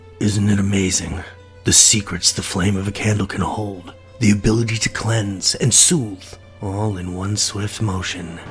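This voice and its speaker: Clear music plays in the background as a man puts on a character voice. His pitch is fairly low and his pace moderate. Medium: read story. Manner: theatrical, archaic.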